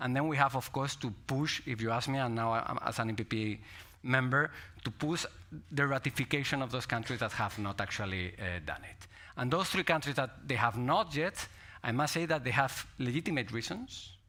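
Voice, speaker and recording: With a Spanish accent, a man speaks at a moderate pace in a bright, sharp tone, medium pitch, and ordinary pitch variation. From Spain. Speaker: politician. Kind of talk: panel discussion.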